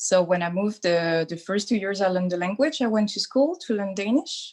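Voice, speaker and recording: Speaking in a French accent, a woman talks. Her pace is fairly quick. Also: medium pitch for a woman, ordinary pitch variation. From France. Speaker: doula. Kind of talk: interview. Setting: video call.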